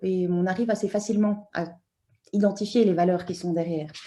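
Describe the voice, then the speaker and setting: The voice has a dark, mellow tone, with audible room echo around it. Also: woman. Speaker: anthropologist, university lecturer. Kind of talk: conference talk. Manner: hesitant, many fillers.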